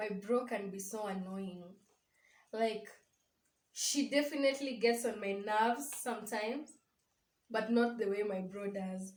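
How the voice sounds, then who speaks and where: A woman with a Kenyan accent speaks at a fairly high pitch and a fairly slow pace, with ordinary pitch variation. Long, frequent pauses break up her speech, and the room echo is audible. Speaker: vlogger's sister. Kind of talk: casual chat.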